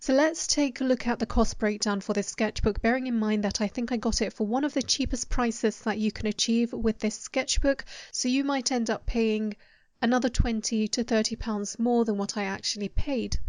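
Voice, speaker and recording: A woman with a British accent talks at a moderate pace. Her voice is fairly high in pitch, with fairly even intonation. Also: quiet background. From UK. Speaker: artist YouTuber. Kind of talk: voice-over narration.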